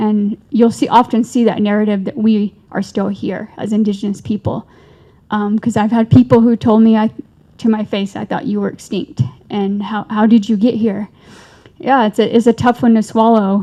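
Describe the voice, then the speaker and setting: The tone is dark and mellow and somewhat breathy. Delivery is at a moderate pace with fairly even intonation. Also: woman. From Navajo Nation. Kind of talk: panel discussion. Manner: halting.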